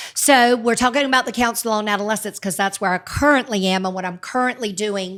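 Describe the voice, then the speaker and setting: Speaking at a fairly quick pace with hardly any pauses, a woman uses a fairly high pitch with ordinary variation, in a very clean recording with a silent background. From US South, Virginia and North Carolina. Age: 60s. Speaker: youth mentoring coordinator. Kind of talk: interview. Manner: fast; loud.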